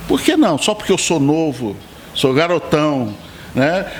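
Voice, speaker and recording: Amid noticeable background noise, a man speaks very slowly with long, frequent pauses and very even loudness. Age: 60s. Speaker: pastor and bass player. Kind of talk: podcast interview.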